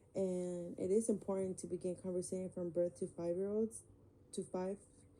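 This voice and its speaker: Speaking with a Spanish accent at a moderate pace, a woman uses a medium pitch, a dark, mellow tone and fairly even intonation. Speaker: student. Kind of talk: class presentation. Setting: screen recording. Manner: halting, many fillers.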